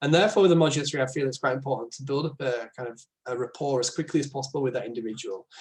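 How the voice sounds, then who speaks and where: A somewhat breathy man at a very fast pace, fairly high in pitch, with ordinary pitch variation. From northern England. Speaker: speech and language therapist. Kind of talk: informal explainer talk. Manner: hesitant, many fillers; informal.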